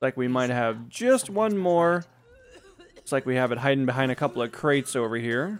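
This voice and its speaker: A man with an ordinary speaking voice, medium pitch, lively intonation and a moderate pace. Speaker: gaming YouTuber. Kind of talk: let's play commentary. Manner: casual.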